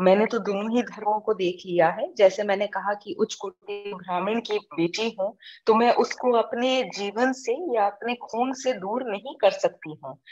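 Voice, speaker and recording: In an ordinary speaking voice, a woman talks at a fairly high pitch with ordinary pitch variation and hardly any pauses. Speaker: social activist, NGO founder. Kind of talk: interview.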